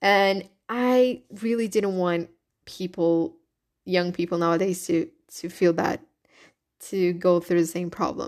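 At a fairly slow pace with long, frequent pauses, a woman with a Brazilian accent speaks in an animated tone at a medium pitch. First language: Portuguese. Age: 20s. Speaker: podcast host. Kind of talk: casual solo monologue. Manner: animated, laughs often.

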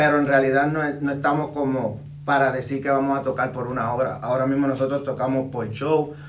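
Against noticeable background noise and audible room echo, a man with a fairly high pitch speaks at a fairly quick pace in a monotone, flat intonation. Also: hardly any pauses. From Puerto Rico (born Dominican Republic). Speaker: urban music artist and DJ. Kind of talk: casual interview.

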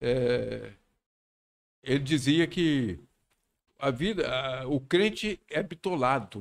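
A man's voice with vocal fry and lively intonation, on a very clean recording with a silent background. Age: 70s. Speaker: pastor. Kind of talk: casual chat.

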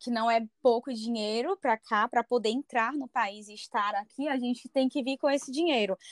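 At a moderate pace and with hardly any pauses, a woman with a high pitch and ordinary pitch variation shows big swings in loudness, captured as a very clean recording with a silent background and a dry, close sound with no echo. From Brazil, Fortaleza, Ceará. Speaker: lawyer living abroad on exchange. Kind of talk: interview, personal testimony. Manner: halting, many fillers.

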